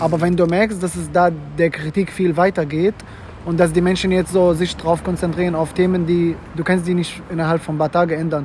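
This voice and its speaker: A man talks at a fairly quick pace and a high pitch. His intonation is monotone and flat, with noticeable background noise behind him. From Syria. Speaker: student. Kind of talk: casual chat. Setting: outdoors.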